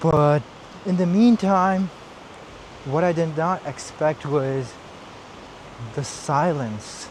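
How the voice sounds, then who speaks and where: Very slow speech with long, frequent pauses and ordinary pitch variation, over noticeable background noise. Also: man, fairly high pitch for a man. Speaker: vlogger. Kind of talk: casual vlog monologue.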